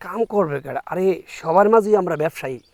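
On a very clean recording with a silent background, a man speaks at a high pitch with ordinary pitch variation, the sound dry and close with no echo. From Bangladesh, Brahmanbaria (Kasba). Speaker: small business owner, vlogger. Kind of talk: casual vlog monologue.

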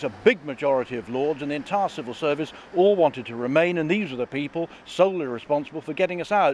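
Very fast talking with light background noise. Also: man, dry sound with no echo. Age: 60s. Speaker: farmer and politician. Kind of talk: political interview. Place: street. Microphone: handheld.

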